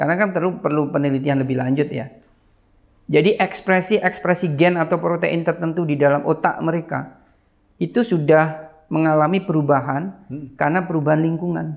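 Fairly even intonation from a male speaker at a fairly quick pace. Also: quiet background. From East Java, Banyuwangi; East Java, Indonesia. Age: 40s. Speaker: pediatric surgeon and geneticist; guest. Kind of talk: casual interview. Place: home room. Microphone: lapel.

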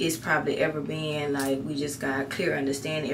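Music plays behind a woman talking. Her pitch is very deep and low. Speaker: vlogger. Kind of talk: casual vlog chat. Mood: grateful, reflective. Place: bathroom. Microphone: phone near.

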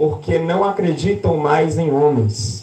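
Shouting in an animated tone, a man with a Brazilian accent is heard with audible room echo. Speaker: preacher. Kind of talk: sermon with prophetic exhortation, preaching to a congregation. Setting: church. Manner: animated, fervent, rousing, with shouted hallelujahs and exclamations. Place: church.

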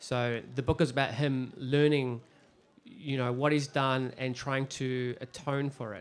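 This man keeps his intonation fairly even. He speaks at a very slow pace. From New Zealand, Christchurch; New Zealand. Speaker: crime novelist; author on panel. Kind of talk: panel discussion via interpreter. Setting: stage with audience. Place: stage. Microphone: handheld.

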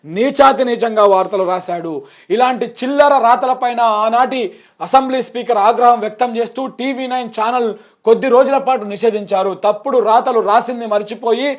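A man's extremely high-pitched voice against a quiet background. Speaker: political commentator. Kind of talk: political commentary. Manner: animated.

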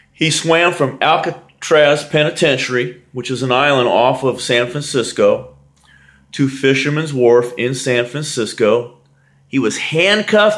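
A man at a fairly high pitch and fairly slow pace, against a quiet background. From United States. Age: 60s. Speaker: bodybuilder; fitness trainer. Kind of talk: vlog commentary. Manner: emphatic. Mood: earnest, motivating. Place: home room. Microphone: webcam.

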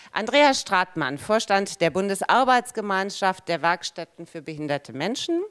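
Very wide pitch swings from a woman at medium pitch, fairly slow pace, quiet background. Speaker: panel moderator. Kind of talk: moderated panel discussion. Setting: conference hall with audience. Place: hall. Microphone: handheld.

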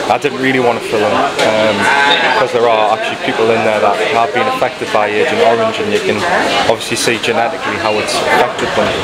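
Loud background noise fills the clip. A man talks at a fairly quick pace. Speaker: travel vlogger. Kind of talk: casual vlog chat. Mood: reflective, slightly uneasy. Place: street. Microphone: phone near.

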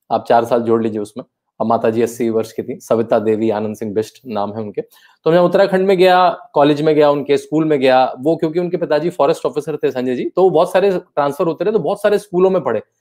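The backdrop is silent apart from him. This man's tone is dark and mellow. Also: fairly high pitch for a man, lively intonation, moderate pace. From Uttarakhand, India (Rishikesh); Uttarakhand, India. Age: 40s. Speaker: author; guest. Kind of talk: interview. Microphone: earbuds.

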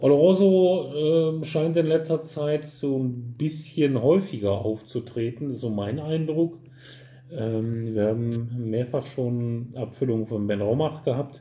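A man's somewhat breathy voice with a dark, mellow tone, a very slow pace and light background noise. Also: ordinary pitch variation. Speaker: whisky retailer reviewer. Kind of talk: tasting commentary. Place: shop.

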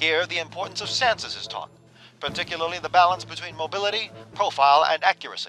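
Over music in the background, a man with a high pitch talks at a very fast pace in a dramatic tone, his loudness swinging widely. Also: ordinary pitch variation. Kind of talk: newsreel-style narration for a video game. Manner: dramatic, authoritative.

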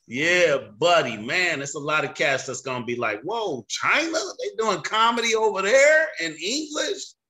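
A man talks at a moderate pace with hardly any pauses. His high voice makes very wide pitch swings. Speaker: comedian and host. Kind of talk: casual interview questions. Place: home room.

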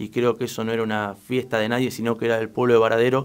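The male speaker's medium-pitched delivery moves at a fairly quick pace, with monotone, flat intonation. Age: 20s. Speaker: local political candidate. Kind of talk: radio interview. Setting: radio studio.

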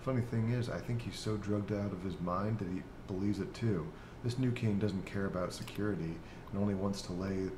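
This man has an ordinary speaking voice and a fairly low pitch. He talks at a moderate pace with fairly even intonation. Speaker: gaming YouTuber. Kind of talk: casual gameplay commentary. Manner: laughs often, relaxed.

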